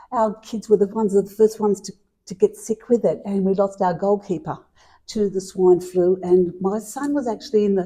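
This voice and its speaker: A woman's dark, mellow, somewhat breathy voice in an Australian accent, medium in pitch with ordinary pitch variation, at a moderate pace. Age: 60s. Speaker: mental health presenter. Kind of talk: interview testimony.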